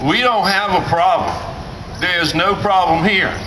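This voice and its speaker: With a raised, projected voice, a man speaks at a fairly slow pace and a high pitch, with noticeable background noise and audible room echo. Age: 60s. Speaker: rally speaker. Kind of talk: protest rally speech. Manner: emphatic, repetitive rhetorical.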